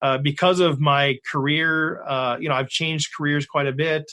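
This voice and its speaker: A man with an American accent uses an ordinary speaking voice, fairly high in pitch, with fairly even intonation. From Minnesota. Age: 50s. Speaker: poker podcast host. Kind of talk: interview.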